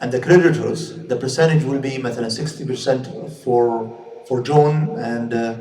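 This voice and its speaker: With a Saudi accent, a man speaks with ordinary pitch variation. Audible room echo is present. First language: Arabic. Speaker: Islamic scholar and teacher. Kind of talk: lecture. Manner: halting, with frequent repetitions and fillers.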